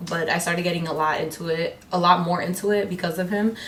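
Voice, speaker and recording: Amid audible room echo and noticeable background noise, a woman with an American accent speaks at a fairly low pitch with fairly even intonation. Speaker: beauty vlogger. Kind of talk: casual chat. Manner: loud; fast.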